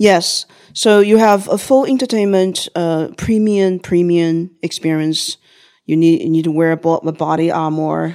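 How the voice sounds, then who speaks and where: With a Chinese accent, a woman speaks at a fairly slow pace in a dark, mellow tone with ordinary pitch variation, on a very clean recording with a silent background. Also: fairly low pitch for a woman. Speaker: XR entrepreneur. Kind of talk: interview conversation.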